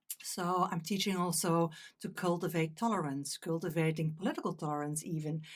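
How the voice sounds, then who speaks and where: Talking at a very fast pace, a woman with a fairly low pitch and a Dutch accent is heard on a very clean recording with a silent background. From Netherlands. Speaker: meditation teacher.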